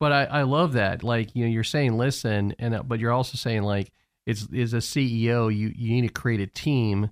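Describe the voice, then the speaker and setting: On a very clean recording with a silent background, a man with a normal speaking voice talks at a fairly quick pace and medium pitch, with fairly even intonation and very even loudness. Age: 50s. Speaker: podcast host. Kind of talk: interview.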